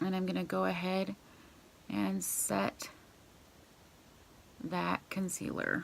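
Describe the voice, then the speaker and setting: A quiet woman's voice, very deep and low in pitch, with very wide pitch swings, a very slow pace, and long, frequent pauses. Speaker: beauty vlogger. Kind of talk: makeup tutorial. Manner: casual.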